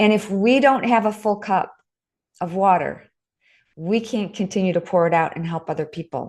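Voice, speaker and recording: Over a quiet background, a woman uses a normal speaking voice at medium pitch, with ordinary pitch variation and a moderate pace. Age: 60s. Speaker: author and fitness instructor. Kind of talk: podcast interview.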